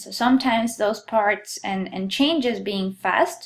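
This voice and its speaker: A woman's fairly high voice with a Colombian accent at a moderate pace. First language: Spanish. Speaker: geology instructor. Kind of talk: lecture.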